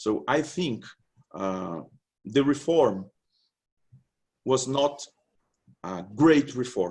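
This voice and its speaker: A man with a Portuguese accent talks at a very slow pace, leaving long, frequent pauses. His intonation is lively. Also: medium pitch for a man. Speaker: labour law researcher. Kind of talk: conference presentation. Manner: halting.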